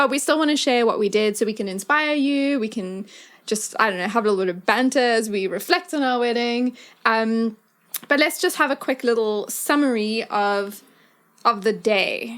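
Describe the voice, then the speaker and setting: This woman has a South African accent and a fairly high pitch with ordinary pitch variation. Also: moderate pace, very clean recording, silent background. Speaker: podcast host. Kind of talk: casual chat.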